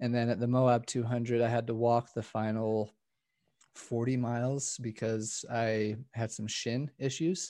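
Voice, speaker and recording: Over a quiet background, a man with an American accent speaks fairly slowly at medium pitch, his dark, mellow tone delivered in a monotone, flat intonation. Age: 30s. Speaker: ultra runner. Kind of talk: casual chat.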